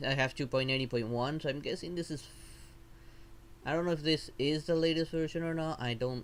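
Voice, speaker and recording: A man with a non-native accent and a fairly high pitch speaks at a moderate pace with ordinary pitch variation. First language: not English. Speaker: vtuber streamer. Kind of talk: live stream tutorial. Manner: halting.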